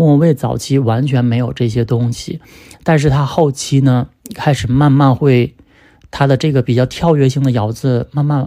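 A man's dark, mellow voice at a fairly slow pace. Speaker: podcast host discussing music. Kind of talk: solo casual monologue on music. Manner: conversational, with frequent fillers.

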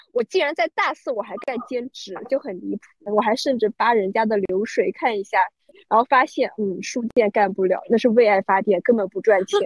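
This woman has an unremarkable speaking voice, fairly high in pitch. She talks at a moderate pace with ordinary pitch variation. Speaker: UX designer. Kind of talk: casual chat.

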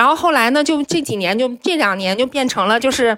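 High female pitch in a bright, sharp tone. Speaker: journalist. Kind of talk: casual chat. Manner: halting.

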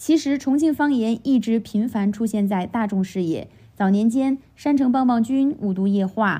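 A woman with a dark, mellow, somewhat breathy tone speaks at a fairly high pitch and moderate pace, with ordinary pitch variation and very even loudness against a quiet background. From Chongqing, China. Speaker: stand-up comedian. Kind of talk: scripted podcast monologue.

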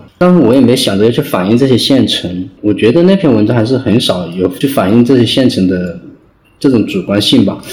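A man speaks at medium pitch and a fairly quick pace, his loudness very even. Noticeable background noise runs underneath. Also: lively intonation. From China, Hunan (rural). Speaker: novelist. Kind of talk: interview. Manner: halting.

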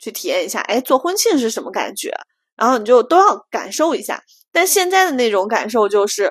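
A woman with a high voice speaks at a moderate pace in an animated tone, her pitch swinging very widely. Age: 30s. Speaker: podcast co-host. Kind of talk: casual chat.

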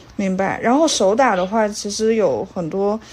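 A soft-spoken voice goes at a fairly slow pace with ordinary pitch variation. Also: woman. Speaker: podcast co-host. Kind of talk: casual interview.

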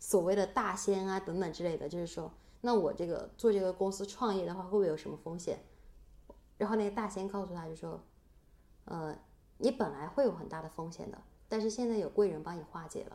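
A woman with a medium pitch and a dark, mellow tone talks at a fairly quick pace, her pitch varying in an ordinary way while her loudness swings widely. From Sichuan, China. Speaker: podcast co-host. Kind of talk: casual chat.

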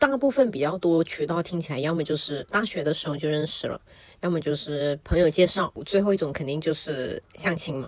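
A normal speaking voice is heard here, its pitch varying in an ordinary way. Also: woman, fairly low pitch for a woman, fairly quick pace. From Shenzhen, Guangdong, China. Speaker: podcast guest. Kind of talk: casual chat.

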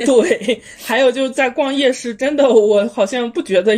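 Noticeable noise runs in the background. A woman's speech moves along at a moderate pace. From Inner Mongolia, Baotou. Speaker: traveler sharing trip experience. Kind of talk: casual chat. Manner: hesitant, many fillers.

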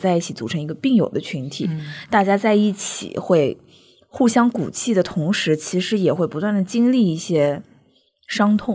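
Medium-pitched speech from a woman at a moderate pace, with very wide pitch swings. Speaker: podcast host. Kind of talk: casual chat podcast.

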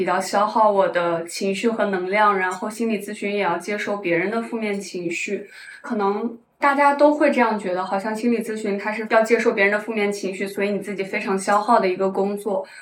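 A woman talks at a moderate pace with a medium pitch. Her intonation is fairly even, and there is audible room echo. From Shanxi, northern China. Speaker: tech worker, part-time counselor, ex-bartender. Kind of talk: casual interview chat. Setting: in-person recording in Shanghai.

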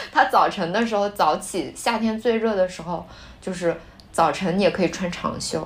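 A woman with an unremarkable speaking voice talks at a moderate pace and medium pitch, using ordinary pitch variation. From Shanxi, northern China. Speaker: podcast co-host. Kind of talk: casual chat.

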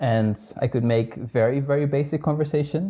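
Ordinary pitch variation runs through a somewhat breathy delivery with a dark, mellow tone. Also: man. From northern Netherlands. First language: Dutch. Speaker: astronomer. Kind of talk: casual interview chat. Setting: remote call from home.

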